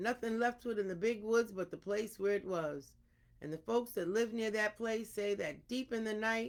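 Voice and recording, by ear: In a natural voice, someone reads aloud.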